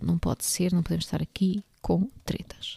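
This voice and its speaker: A woman with a European Portuguese accent speaks at a moderate pace in a fairly low pitch, her tone dark and mellow. The recording is very clean, with a silent background and a dry, close sound with no echo. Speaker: book podcast host. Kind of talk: casual monologue.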